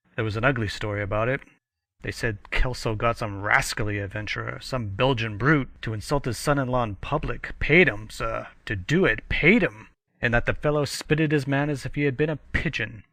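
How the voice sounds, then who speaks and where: Against a quiet background, a man does a gruff put-on character voice at a medium pitch and a fairly quick pace. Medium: read story. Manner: blustering, gruff, fond of "egad" and "sir".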